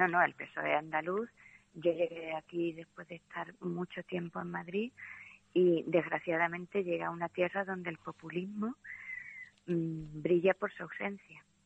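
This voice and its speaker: The speech moves at a fairly slow pace with fairly even intonation. Noticeable background noise runs underneath. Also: woman, fairly low pitch for a woman. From Andalusia. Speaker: literature teacher. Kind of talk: casual interview about a novel.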